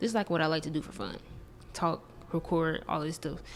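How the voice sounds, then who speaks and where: With vocal fry and a fairly low pitch, a woman talks at a very fast pace with ordinary pitch variation. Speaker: podcast host. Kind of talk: casual vlog monologue. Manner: animated, talks with hands.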